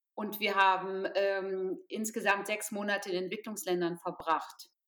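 Her tone bright and sharp, a woman speaks at medium pitch with fairly even intonation. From Potsdam, eastern Germany. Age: 50s. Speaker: charity founder. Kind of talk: interview.

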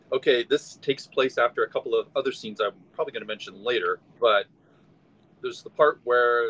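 A man with an American accent speaks at a fairly quick pace, his voice dry and close with no echo over noticeable background noise. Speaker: podcast guest panelist. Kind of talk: casual chat.

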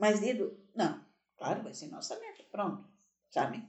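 A woman keeps a moderate pace as her voice carries audible room echo. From Santa Catarina, Brazil (Gaspar/Blumenau). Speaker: podcast host's mother. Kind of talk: casual chat.

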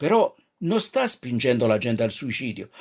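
This man moves at a fairly quick pace. His pitch varies very widely. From Naples, southern Italy. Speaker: radio preacher. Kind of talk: devotional radio talk. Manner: halting.

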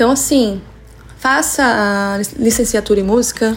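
Music plays in the background while a woman with a fairly high pitch speaks at a fairly slow pace. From Brazil, São Paulo state (Santo André). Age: 40s. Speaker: music teacher and musician. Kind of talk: interview.

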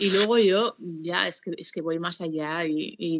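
A woman speaks at a very slow pace. Her voice sits at a fairly low pitch. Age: 40s. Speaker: educational psychologist, co-host. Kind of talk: casual chat.

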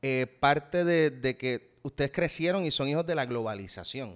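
A plain, everyday voice moves at a fairly slow pace with lively intonation. The sound is dry and close with no echo, on a very clean recording with a silent background. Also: man. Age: 30s. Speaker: actor and salsa musician. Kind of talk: casual interview.

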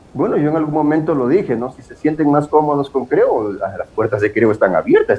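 Fairly quick and fairly high-pitched, a man talks against noticeable background noise. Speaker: politician. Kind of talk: interview. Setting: video call.

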